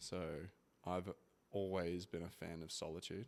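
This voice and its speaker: In an Australian accent, a man speaks at a moderate pace with very deep, low pitch and fairly even intonation. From Australia (Brisbane). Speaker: former athlete, father. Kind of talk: interview. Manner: relaxed, hesitant with fillers.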